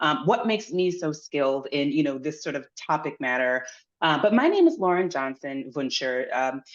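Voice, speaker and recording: A woman with an American accent speaks at a moderate pace with lively intonation. Her pitch is very deep and low. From Pennsylvania, US. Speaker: wine writer and workshop presenter. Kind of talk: workshop presentation. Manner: casual, with many fillers.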